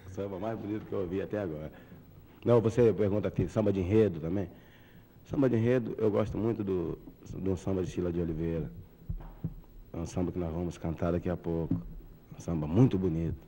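Speaking at a fairly quick pace yet with long, frequent pauses, a man with a very deep, low pitch and a dark, mellow tone shows ordinary pitch variation. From Rio de Janeiro, Salgueiro hill. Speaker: samba musician. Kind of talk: casual interview chat.

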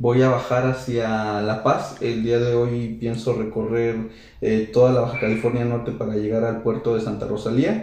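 A man at a moderate pace with fairly even intonation, plus audible room echo. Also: medium pitch for a man. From central Mexico, San Luis Potosí. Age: 20s. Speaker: motorcycle traveler. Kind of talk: interview.

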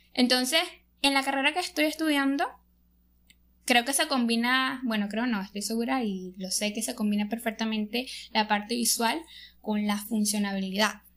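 A woman speaks at a moderate pace with ordinary pitch variation. Her speech has long, frequent pauses. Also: fairly high pitch for a woman. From Venezuela. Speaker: podcast co-host, engineering student. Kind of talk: casual chat. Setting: sitting on a bed at home.

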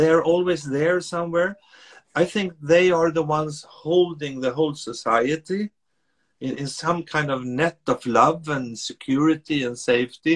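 A man with a Swedish accent speaks at a fairly high pitch in a dry, close sound with no echo. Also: ordinary pitch variation, fairly slow pace. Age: 60s. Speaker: author and speaker. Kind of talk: interview conversation. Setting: video call.

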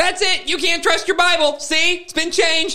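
A put-on character voice at extremely high pitch, with monotone, flat intonation. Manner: bleating, goat-like.

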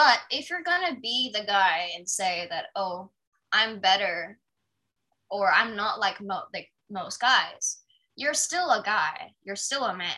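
A woman's fairly high, bright, sharp voice with very wide pitch swings at a very slow pace. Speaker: podcast host. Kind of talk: casual chat. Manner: animated.

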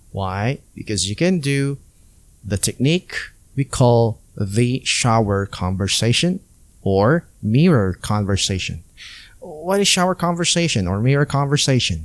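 Very wide pitch swings mark a man of medium pitch speaking at a fairly slow pace on a very clean recording with a silent background. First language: non-English native language. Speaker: podcast host and ESL teacher. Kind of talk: solo educational podcast tutorial. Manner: clear, deliberate teaching pace.

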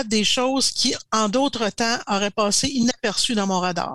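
A woman with a Quebec accent speaks at a moderate pace in a bright, sharp tone and a fairly high pitch, with ordinary pitch variation, on a very clean recording with a silent background and a dry, close sound with no echo. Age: 60s. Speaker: strategic planning coach. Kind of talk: casual interview.

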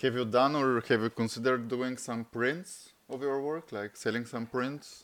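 A man's medium-pitched voice with a Bulgarian accent, at a moderate pace with fairly even intonation. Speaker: podcast host. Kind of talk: interview; scripted outro. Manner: casual.

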